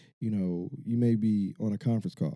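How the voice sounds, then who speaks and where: A dark, mellow tone with a Chicago accent, in a dry, close sound with no echo. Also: man. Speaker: podcast host. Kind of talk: casual podcast chat. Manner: fast.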